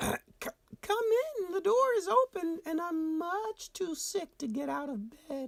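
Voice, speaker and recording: A put-on character voice at an extremely high pitch moves at a fairly slow pace. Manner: softened, trying to sound sweet.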